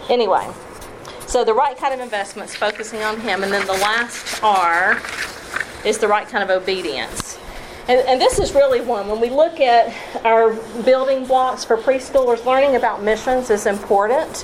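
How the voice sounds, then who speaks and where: A woman with a Southern US accent speaks at a fairly high pitch and a moderate pace, with ordinary pitch variation. Noticeable background noise runs behind her. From US South (Tennessee, Kentucky, Alabama). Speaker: missionary and children's ministry trainer. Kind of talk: workshop talk. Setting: live session with audience.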